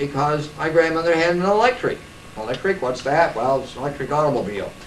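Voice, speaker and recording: Amid noticeable background noise and audible room echo, a man with an American accent speaks with lively intonation at a fairly high pitch. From US Midwest, Iowa. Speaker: local historian. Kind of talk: oral history talk.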